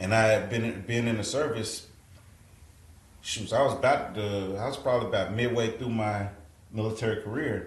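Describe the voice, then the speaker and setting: With an American accent, the speaker talks at a moderate pace with fairly even intonation and long, frequent pauses, amid audible room echo. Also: man, medium pitch for a man. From Texas, Fort Worth. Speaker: retired soldier. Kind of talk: casual interview chat.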